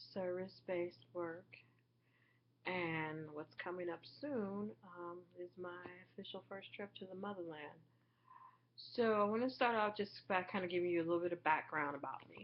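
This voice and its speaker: A woman of medium pitch speaks at a moderate pace with ordinary pitch variation and long, frequent pauses. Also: big swings in loudness. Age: 30s. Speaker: vlogger and graduate student. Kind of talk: personal vlog monologue. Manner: casual with frequent filler words.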